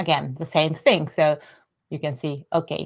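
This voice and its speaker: Speaking in a Japanese accent, a woman with a very deep, low pitch keeps a fairly slow pace and fairly even intonation. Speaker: Japanese language teacher. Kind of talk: tutorial. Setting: live stream with screen share. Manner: halting.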